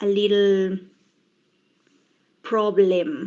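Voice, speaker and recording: A woman talks at a very slow pace in a dark, mellow tone. Her pitch is medium and her intonation fairly even. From Bolivia. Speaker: English language student. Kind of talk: class presentation. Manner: halting, many fillers.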